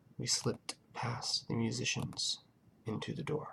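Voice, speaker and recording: This man is soft-spoken. His pace is fairly slow. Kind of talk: audiobook-style narration of a story.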